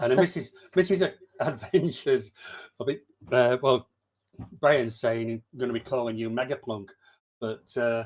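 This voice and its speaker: With a medium-pitched voice, a man reads at a moderate pace and ordinary pitch variation. He leaves long, frequent pauses. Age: 60s. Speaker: livestream quiz host. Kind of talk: casual chat.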